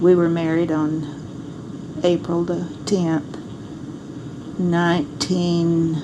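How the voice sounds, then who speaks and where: Someone with an American accent speaks at a very slow pace in a monotone, flat intonation, with audible room echo and noticeable background noise. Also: woman, fairly low pitch for a woman. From Arkansas. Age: 70s. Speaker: grandmother recording memoirs. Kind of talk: personal memoir monologue. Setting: home recording device.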